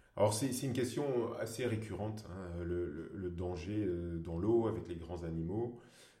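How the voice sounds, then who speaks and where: A man with a very deep, low pitch talks at a fairly slow pace with ordinary pitch variation. The room echo is audible. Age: 40s. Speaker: free diver and underwater photographer. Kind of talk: interview.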